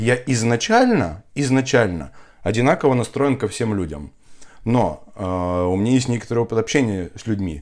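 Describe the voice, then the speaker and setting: At a moderate pace with long, frequent pauses, a man speaks at a medium pitch with lively intonation on a very clean recording with a silent background. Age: 30s. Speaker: entrepreneur and father of four. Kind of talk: podcast interview about personal birth story.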